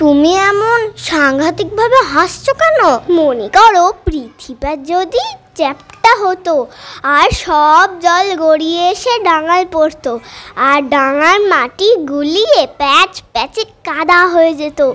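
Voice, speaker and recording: Very slow, extremely high-pitched put-on character voice. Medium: stage play. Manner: giggly, absurd.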